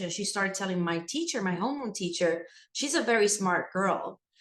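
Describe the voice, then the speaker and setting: A woman is speaking. She talks with a Spanish accent. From Puerto Rico. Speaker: school administrator and educator. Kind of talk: interview.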